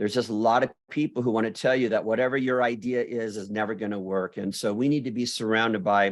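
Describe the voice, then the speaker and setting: This is a normal speaking voice with fairly even intonation. The pace is fairly quick. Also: man, quiet background. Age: 60s. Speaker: beauty school business leader and speaker. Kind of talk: interview conversation.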